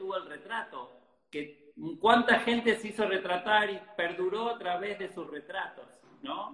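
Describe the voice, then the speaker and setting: This man's pitch is high, with ordinary variation. He talks at a fairly slow pace. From Argentina, Rosario. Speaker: photographer. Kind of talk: interview.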